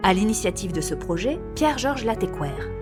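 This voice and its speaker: With music in the background, a woman's speech moves at a moderate pace. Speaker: voice-over artist. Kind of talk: documentary history narration. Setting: studio.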